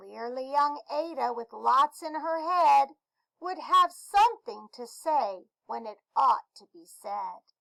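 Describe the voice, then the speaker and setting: Speaking at a very slow pace, a woman is heard in a dry, close sound with no echo. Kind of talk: classroom read-aloud. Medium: read story. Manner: warm, explanatory.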